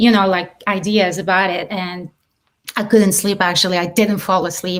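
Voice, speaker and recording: With a French accent, a woman at a medium pitch speaks in fairly even intonation. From southern France, Marseille. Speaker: filmmaker and actress. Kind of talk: interview.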